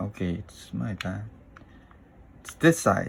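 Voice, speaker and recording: A fairly low-pitched man at a fairly slow pace. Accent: non-native. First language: not English. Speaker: tech YouTuber. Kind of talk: unscripted unboxing tutorial. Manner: halting, hesitant.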